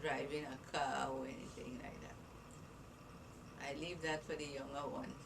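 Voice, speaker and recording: A woman speaks at a fairly slow pace with very deep, low pitch. Audible room echo surrounds her voice. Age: 80s+. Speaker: grandmother being interviewed by grandchild. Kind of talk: casual family interview.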